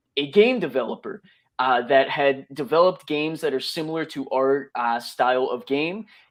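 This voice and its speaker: Against a quiet background, a man speaks in an unremarkable speaking voice at a fairly high pitch, with ordinary pitch variation. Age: 20s. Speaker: crypto project founder. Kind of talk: live audio interview.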